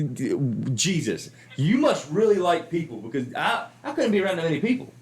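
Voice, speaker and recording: American-accented speech at a moderate pace, very wide pitch swings, and noticeable background noise. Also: man. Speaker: comedian and podcast host. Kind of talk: casual chat.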